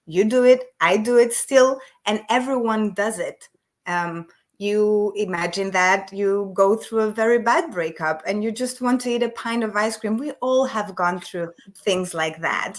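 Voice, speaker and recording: A woman with a non-native accent, fairly high in pitch, at a fairly slow pace, with ordinary pitch variation. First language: not English. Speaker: emotional eating coach, business owner. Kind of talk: podcast interview.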